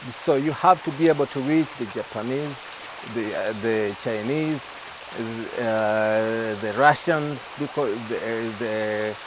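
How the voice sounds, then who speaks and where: A man with a Ugandan accent speaks at a very slow pace and medium pitch with ordinary pitch variation over noticeable background noise. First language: Luganda. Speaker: gospel singer. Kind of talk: TV interview. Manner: halting.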